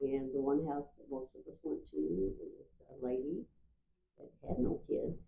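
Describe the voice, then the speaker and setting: Speaking at a fairly slow pace, a woman with a Midwestern American accent makes big swings in loudness. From US Midwest, Marshall, Missouri. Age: 70s. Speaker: oral history interviewee. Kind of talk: oral history interview.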